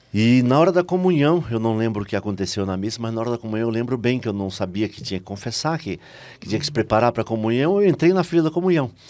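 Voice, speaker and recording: With a Bahian accent, a man at a medium pitch speaks at a very fast pace with lively intonation. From Brazil, Salvador, Bahia. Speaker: lay missionary and preacher. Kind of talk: testimony.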